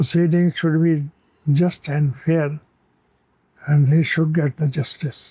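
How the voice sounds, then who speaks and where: With a dark, mellow tone and a fairly high pitch, a man talks fairly slowly in a flat monotone at very even loudness, with long, frequent pauses. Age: 80s+. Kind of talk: interview answer.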